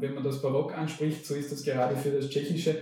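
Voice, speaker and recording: The man talks with a fairly high pitch. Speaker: professor of linguistics. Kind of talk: interview.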